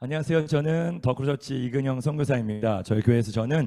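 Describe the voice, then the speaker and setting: At a fairly quick pace, a man speaks at medium pitch with ordinary pitch variation and a dark, mellow tone. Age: 40s. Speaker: missionary preacher. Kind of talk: sermon. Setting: lecture room at a university worship service.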